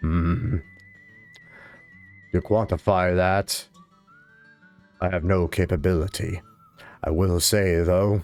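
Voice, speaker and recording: A man does a put-on character voice with a very deep, low pitch, speaking fairly slowly with long, frequent pauses. Faint music plays in the background. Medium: actual play. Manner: grandfatherly, crotchety, wry.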